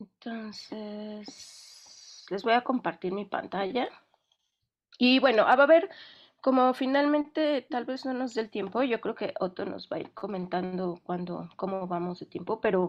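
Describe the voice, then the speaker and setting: A woman's fairly high voice with lively intonation. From Mexico. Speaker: film sound specialist. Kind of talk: online lecture. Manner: fast when excited; hesitant, many fillers.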